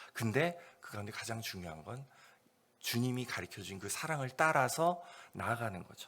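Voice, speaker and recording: A man's bright, sharp voice at medium pitch and moderate pace, with very wide pitch swings, big swings in loudness, and long, frequent pauses. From South Korea. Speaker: missionary. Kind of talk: sermon. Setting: church service. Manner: unscripted, conversational.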